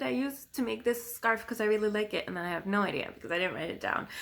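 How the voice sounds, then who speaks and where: A woman talks fairly quickly at a medium pitch with lively intonation. Background noise is noticeable. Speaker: knitting podcaster. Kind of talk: casual video podcast monologue. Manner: hesitant with many ums.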